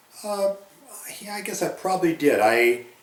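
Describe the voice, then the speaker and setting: Over noticeable background noise and audible room echo, a man with an Ontario accent talks at a fairly quick pace with lively intonation. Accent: rural Ontario Canadian. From Ontario, Canada (Grey County). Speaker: former farm youth club member. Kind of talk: oral history interview. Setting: recorded interview near a rural town. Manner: hesitant, many fillers.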